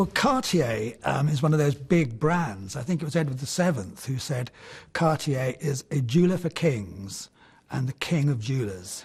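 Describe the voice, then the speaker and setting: At a moderate pace, a man with a fairly high pitch and a somewhat breathy sound talks with lively intonation. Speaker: antiques valuer and auctioneer. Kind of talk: TV antiques valuation.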